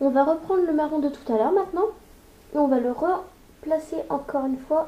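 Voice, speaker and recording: With a strong northern French accent, a woman speaks at a moderate pace in a high pitch, with ordinary pitch variation, long, frequent pauses, and noticeable background noise. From northern France. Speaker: makeup youtuber. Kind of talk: tutorial. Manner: casual, chatty.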